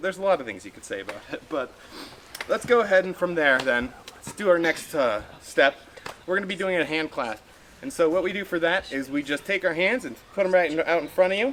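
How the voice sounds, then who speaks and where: A man speaks at a fairly quick pace with a high pitch and lively intonation. His loudness swings widely, and there is noticeable background noise. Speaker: hypnotist. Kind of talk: live hypnosis demonstration. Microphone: no microphone.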